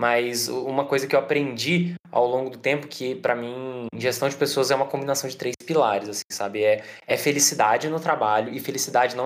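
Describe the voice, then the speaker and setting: Fairly even intonation runs through a normal speaking voice delivered at a fairly quick pace. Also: man. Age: 20s. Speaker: startup product head. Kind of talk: casual interview chat.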